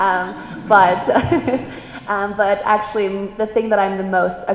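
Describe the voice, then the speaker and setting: A woman speaks at a medium pitch in a monotone, flat intonation. Noticeable background noise and audible room echo fill the recording. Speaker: streamer panelist. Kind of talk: panel discussion.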